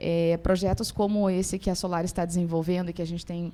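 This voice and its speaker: Against a silent background in a very clean recording, a woman with a southern Brazilian accent speaks in a dark, mellow tone with flat, monotone intonation. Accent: gaúcho (southern Brazilian). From Rio Grande do Sul, southern Brazil. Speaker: university professor. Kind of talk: panel talk at opening ceremony. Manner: halting, many fillers.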